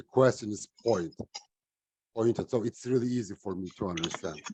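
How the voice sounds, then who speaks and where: A man's dark, mellow voice at medium pitch, with a non-native accent and a dry, close sound with no echo. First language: not English. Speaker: online English club participant. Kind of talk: casual group discussion. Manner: halting.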